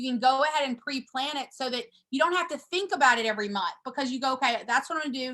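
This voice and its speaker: At a very fast pace, a woman projects a raised, high-pitched voice with a bright, sharp tone and ordinary pitch variation. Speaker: real estate coach. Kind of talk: training call presentation. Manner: loud.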